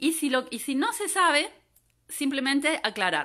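A woman's high, raised and projected voice at a moderate pace, set against a quiet background. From Argentina, Córdoba; Argentina. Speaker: environmental geographer giving a talk. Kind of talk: online lecture. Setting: Facebook Live from home. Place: home room. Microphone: phone near.

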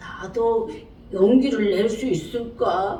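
A woman speaks in an animated tone with noticeable background noise behind her. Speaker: storyteller. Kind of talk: children's story reading. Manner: lively, animated. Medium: read story.

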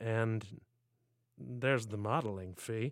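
A man's nasal put-on character voice at medium pitch and a fairly slow pace. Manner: whining.

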